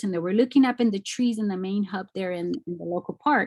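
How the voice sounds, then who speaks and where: With an American accent, a woman speaks in a plain, everyday voice of medium pitch, the sound dry and close with no echo. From Mexico, then East Los Angeles. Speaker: artist. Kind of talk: lecture.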